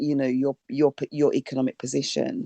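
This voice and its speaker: Her pitch is very deep and low, her tone dark and mellow. The woman's sound is dry and close with no echo, over a quiet background. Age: 60s. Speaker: audience member. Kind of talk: panel discussion. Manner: halting.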